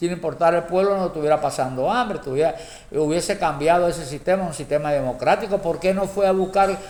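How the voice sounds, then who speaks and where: A man at a high pitch and a very fast pace, with ordinary pitch variation and noticeable background noise. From Cuba. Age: 70s. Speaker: political commentator. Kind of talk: political monologue. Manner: halting, many repetitions; impassioned.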